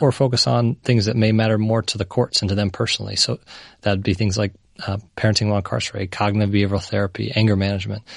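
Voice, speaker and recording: A man talks at a very fast pace with a fairly low pitch. His intonation stays fairly even against a quiet background. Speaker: startup founder.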